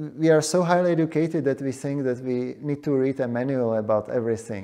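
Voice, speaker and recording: Talking very fast in a Czech accent, a man has a dark, mellow tone at a fairly high pitch with ordinary pitch variation. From Czechia. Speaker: demographer. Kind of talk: panel discussion.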